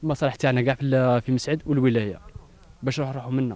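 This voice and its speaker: A man with a medium pitch talks at a very fast pace in a dry sound with no echo. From Algeria. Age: 30s. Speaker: local resident. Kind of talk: on-location complaint interview. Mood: aggrieved, complaining. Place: open country. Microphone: handheld.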